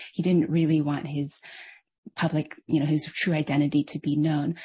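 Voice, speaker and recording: A woman with an American accent speaks at a moderate pace. Her voice is very deep and low in pitch, and somewhat breathy. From United States. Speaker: author and former hospital chaplain. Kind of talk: online lecture with Q&A.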